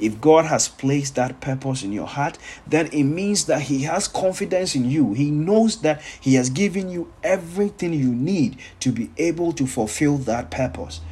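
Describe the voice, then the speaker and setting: Somewhat breathy and fairly high in pitch, a man talks at a moderate pace with lively intonation. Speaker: pastor. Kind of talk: sermon.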